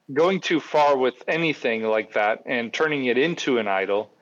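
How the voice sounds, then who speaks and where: A man with an American accent speaks at a medium pitch and a fairly slow pace, in a plain, everyday voice. His intonation is lively, and the background is quiet. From Grand Rapids, Michigan. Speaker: producer, co-host.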